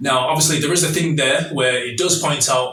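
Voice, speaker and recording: Someone with a Mancunian accent speaks at a fairly quick pace, with audible room echo. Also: man. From northern England, Manchester (New Moston). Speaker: YouTube commentator. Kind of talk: monologue commentary video.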